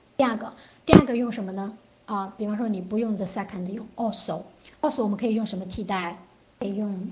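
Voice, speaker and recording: There is noticeable background noise and audible room echo. A woman with a medium pitch talks at a moderate pace with ordinary pitch variation. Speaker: English test prep teacher. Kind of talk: online lecture. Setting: online class.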